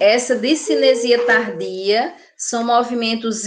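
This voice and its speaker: A woman's fairly high voice with a Brazilian accent. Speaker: nursing teacher. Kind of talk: lecture.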